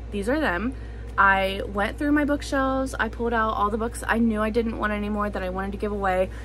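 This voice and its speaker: A woman at a fairly quick pace, with music in the background and audible room echo. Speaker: booktuber. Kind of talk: casual vlog talk. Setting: home, at bookshelves. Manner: loud to cover background noise.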